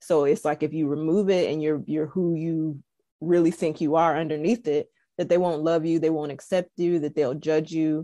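Speaking at a moderate pace with an American accent, a woman has a very deep, low pitch, a dark, mellow tone and fairly even intonation against a quiet background. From US South. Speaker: engineer. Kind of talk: casual chat. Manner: calm.

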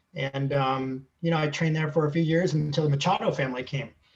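With a normal speaking voice, a man speaks at a fairly quick pace and a fairly high pitch, his pitch varying in an ordinary way. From Southern California. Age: 50s. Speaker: athletic trainer. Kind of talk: interview.

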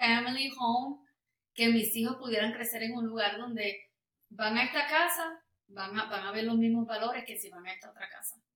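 A woman talks at a moderate pace with ordinary pitch variation and a fairly high pitch. She has a plain, everyday voice. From Puerto Rico. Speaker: worship singer. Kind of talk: casual interview.

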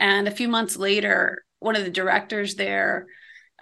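A woman with an American accent, a bright, sharp tone, vocal fry, fairly even intonation and a moderate pace. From Iowa, US Midwest. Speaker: ministry founder and coach. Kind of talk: interview.

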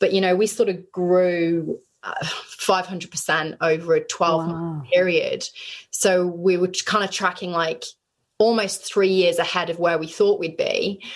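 A woman with a British accent speaks at a fairly slow pace, her medium pitch held in fairly even intonation. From UK. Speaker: business founder and CEO. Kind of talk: interview. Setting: video call from bedroom.

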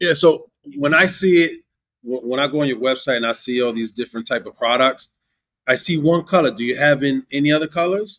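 A man speaks fairly quickly in an unremarkable speaking voice, pitched fairly high. His pitch varies in an ordinary way. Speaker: podcast co-host. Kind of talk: casual interview.

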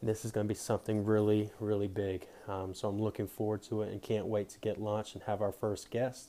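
A man's fairly low, dark and mellow voice, monotone and flat, at a fairly quick pace with hardly any pauses. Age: 20s. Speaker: podcast host. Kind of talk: solo podcast intro monologue.

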